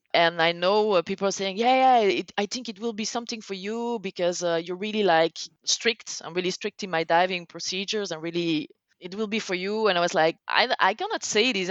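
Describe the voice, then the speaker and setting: At a fairly quick pace, a woman speaks with a Flemish accent, a medium pitch and ordinary pitch variation. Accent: Belgian (Flemish) accent in English. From Belgium. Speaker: technical cave diver. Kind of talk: podcast interview. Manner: halting, searches for words; animated.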